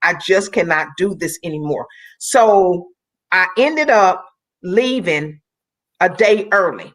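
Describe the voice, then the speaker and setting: Using lively intonation, a woman talks at a medium pitch in an ordinary speaking voice. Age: 60s. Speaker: Olympic athlete and motivational speaker. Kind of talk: testimony.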